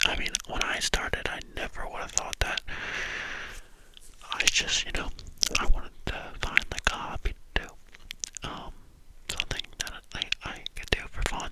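A man whispers at a moderate pace with long, frequent pauses, the sound dry with no echo and the background noise loud. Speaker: ASMR channel creator. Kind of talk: soft casual chat to viewers. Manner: close-mic whisper behind cupped hand. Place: home room. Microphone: studio mic.

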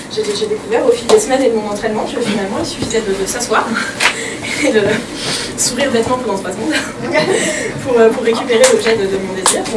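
Amid loud background noise, a woman talks at a fairly quick pace but with long, frequent pauses. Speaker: comedian. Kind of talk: stand-up comedy. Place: stage. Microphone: camera far.

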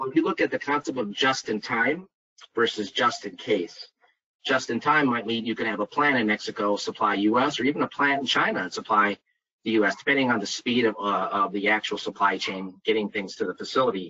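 An ordinary speaking voice from a man with an American accent, medium pitch, ordinary pitch variation and a fairly quick pace. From US Midwest (Minnesota). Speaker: site selection consultant. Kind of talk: webinar presentation. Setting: video call webinar.

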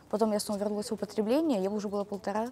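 Light background noise sits behind a woman whose voice sounds dry, with no echo. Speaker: rehab patient acting as interviewer. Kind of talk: interview. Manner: casual, uses filler words. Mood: calm, confessional. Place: garden.

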